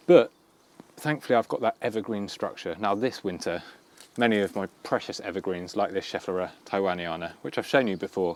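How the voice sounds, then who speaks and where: With ordinary pitch variation, a man talks at a fairly quick pace in a fairly low pitch. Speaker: gardening youtuber. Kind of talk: garden tour tutorial. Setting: outdoors in garden. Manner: fast.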